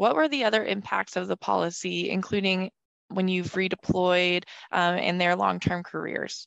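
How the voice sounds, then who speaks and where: A woman speaks at a moderate pace in an ordinary speaking voice, her pitch medium. The background is quiet, and the sound is dry and close with no echo. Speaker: podcast co-host. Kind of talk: interview.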